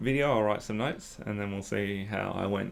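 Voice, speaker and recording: A man speaking at a moderate pace. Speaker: aspiring SOC analyst, tutorial creator. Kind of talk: screen-recorded tutorial walkthrough. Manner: casual, hesitant with fillers.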